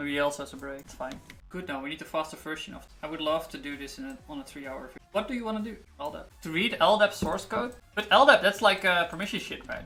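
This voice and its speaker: Speech at a very fast pace plays over music in the background. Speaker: programmer live-streaming coding. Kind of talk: live coding stream talk. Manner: halting, many fillers.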